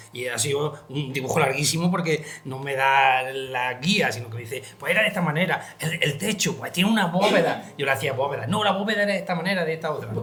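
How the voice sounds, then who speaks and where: Over noticeable background noise, a man speaks at a fairly quick pace with hardly any pauses. His voice is fairly high, with lively intonation. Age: 70s. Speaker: book illustrator and interviewer. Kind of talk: book presentation conversation. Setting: library with audience.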